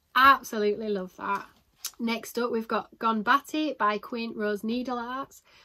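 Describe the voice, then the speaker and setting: Fairly slow and fairly even in intonation, a woman speaks with a fairly high pitch and a bright, sharp tone. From Yorkshire, England (Selby). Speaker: cross-stitch vlogger. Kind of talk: casual chat. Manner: casual, chatty.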